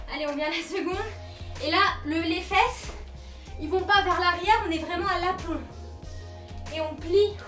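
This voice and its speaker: A woman talks at a moderate pace with an extremely high pitch and ordinary pitch variation. Faint music sits in the background, and room echo is audible. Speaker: fitness instructor. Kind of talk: workout coaching. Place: home room. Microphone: camera far.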